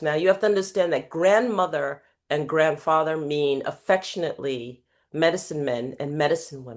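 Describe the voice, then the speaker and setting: Against a quiet background, a woman with an American accent speaks at a moderate pace in a very deep, low pitch with ordinary pitch variation. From New York City (Queens). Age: 60s. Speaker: life coach and keynote speaker. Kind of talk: podcast interview.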